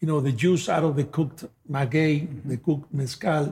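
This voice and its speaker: This man has a Spanish accent and a somewhat breathy, fairly high voice. He speaks at a moderate pace with fairly even intonation. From Mexico, Guadalajara. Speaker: tequila brand ambassador. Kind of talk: interview. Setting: at a distillery.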